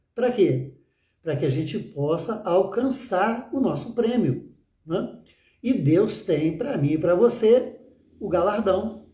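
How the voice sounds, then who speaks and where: A man speaks at a very slow pace in a high pitch, with a dark, mellow tone and lively intonation. Room echo is audible. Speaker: pastor. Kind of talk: sermon. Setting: livestream. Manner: halting with filler words.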